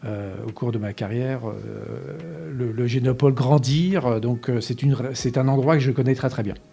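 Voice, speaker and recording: A man at a medium pitch and moderate pace, fairly even in intonation, with long, frequent pauses. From France, Essonne (Paris region). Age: 60s. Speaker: company director. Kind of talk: interview. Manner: hesitant, many fillers.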